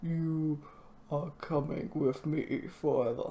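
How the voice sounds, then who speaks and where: In a put-on character voice at a middle pitch, the speaker goes very slowly against clear background noise. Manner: creepy, eerie.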